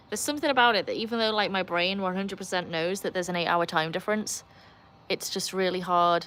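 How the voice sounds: Talking at a very fast pace, a woman with a Welsh accent has a bright, sharp tone.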